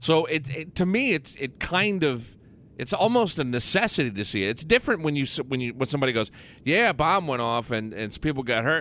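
Fairly quick speech, bright and sharp in tone, with very wide pitch swings. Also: man, fairly high pitch for a man. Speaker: radio host. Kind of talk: casual chat. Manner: profane.

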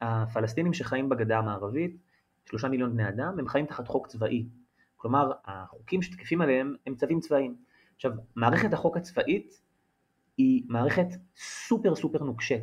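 A man's voice is somewhat breathy. His intonation is lively. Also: medium pitch for a man, moderate pace. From Israel. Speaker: journalist. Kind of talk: interview.

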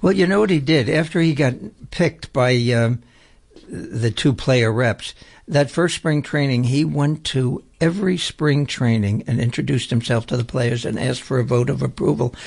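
A man's somewhat breathy voice rises and falls with lively intonation. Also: medium pitch for a man, moderate pace. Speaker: radio host and prisoners' rights activist. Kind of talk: radio interview. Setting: radio studio.

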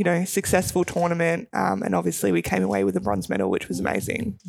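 An Australian accent comes through. The recording is very clean, and the background is silent. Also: woman. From Melbourne, Australia. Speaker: retired basketball player and police officer. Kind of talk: radio interview.

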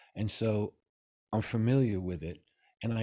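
Here a man speaks with a New York accent and a dark, mellow tone. His pace is moderate, with ordinary pitch variation. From New York City. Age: 70s. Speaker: Taoist master and author. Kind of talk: interview conversation.

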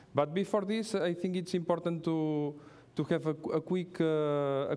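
Ordinary pitch variation marks this man's speech in a Catalan accent. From Catalonia, Spain. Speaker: pastry chef. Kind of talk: lecture with cooking demonstration. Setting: stage with audience. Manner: halting.

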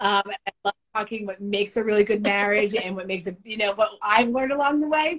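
Speaking very fast with hardly any pauses, a woman uses a medium-pitched, animated voice with ordinary pitch variation. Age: 50s. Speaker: company founder and CEO. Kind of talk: casual interview.

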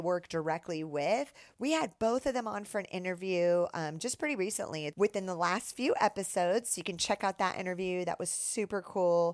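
Over a silent background on a very clean recording, a woman with an unremarkable speaking voice talks at a moderate pace and medium pitch. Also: dry, close sound with no echo. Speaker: podcast host. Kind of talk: interview with sponsor reads.

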